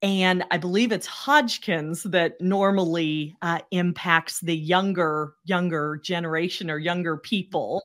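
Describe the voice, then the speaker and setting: A woman speaks at a fairly slow pace with hardly any pauses, in an ordinary speaking voice. Her pitch is fairly low with ordinary variation, and the recording is very clean with a silent background. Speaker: cancer survivor and speaker. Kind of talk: interview.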